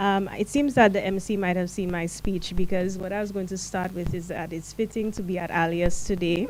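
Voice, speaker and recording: A woman talks at a moderate speed with ordinary pitch movement, and noticeable background noise runs underneath. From Saint Lucia. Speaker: non-profit founder and director. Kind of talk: speech. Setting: launch event.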